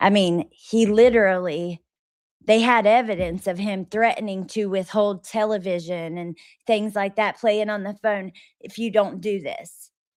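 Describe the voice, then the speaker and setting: A woman speaks at a medium pitch and a fairly slow pace. Her loudness swings widely. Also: ordinary pitch variation, very clean recording, silent background. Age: 30s. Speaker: live-stream commentary host. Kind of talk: casual live-stream chat. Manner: animated.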